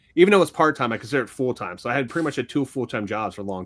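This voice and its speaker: A man is speaking. He has a Philadelphia accent. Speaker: sports card podcast co-host and card flipper. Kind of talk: casual chat.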